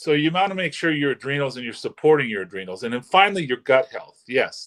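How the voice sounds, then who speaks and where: This man talks at a very fast pace, his pitch swinging very widely. The sound is dry and close, with no echo. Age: 60s. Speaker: holistic health doctor. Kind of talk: interview explanation.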